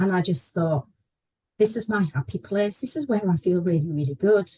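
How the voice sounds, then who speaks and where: A woman speaks at a moderate pace with a medium pitch and very wide pitch swings. Her voice is somewhat breathy, recorded dry and close with no echo. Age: 60s. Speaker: horse riding student. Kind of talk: testimony.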